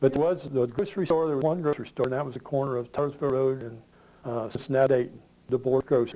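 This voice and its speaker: A man's medium-pitched voice with a Midwestern American accent, very fast, with ordinary pitch variation. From southwest Ohio. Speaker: local elder interviewee. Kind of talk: oral history interview. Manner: halting.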